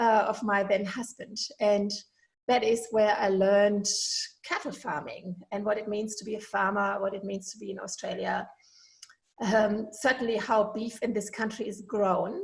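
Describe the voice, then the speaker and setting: A woman speaks at a moderate pace with a fairly high pitch and fairly even intonation. Her voice is somewhat breathy, and its loudness swings widely. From Germany. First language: German. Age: 50s. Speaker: veterinarian and podcast host. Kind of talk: podcast monologue. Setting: home kitchen.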